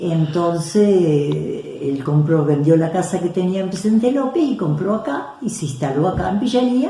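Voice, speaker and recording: Talking at a fairly slow pace with hardly any pauses, a woman uses a fairly low pitch and lively intonation, with audible room echo and noticeable background noise. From Argentina, Buenos Aires province. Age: 70s. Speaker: local resident recounting family history. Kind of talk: interview.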